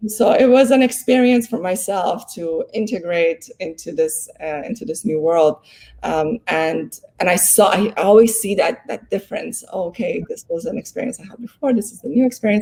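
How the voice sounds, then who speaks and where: A woman's dark, mellow voice at medium pitch, somewhat breathy, with lively intonation, big swings in loudness, a moderate pace and hardly any pauses. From abroad, moved to US at 13. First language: not English. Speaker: law professor. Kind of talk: interview conversation. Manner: hesitant, many fillers.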